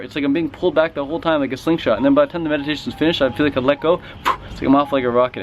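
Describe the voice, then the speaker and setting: Very fast talking cuts through noticeable background noise. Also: man. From Western Canada (Vancouver). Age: 20s. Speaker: fitness and raw food YouTuber. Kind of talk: vlog rant. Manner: animated.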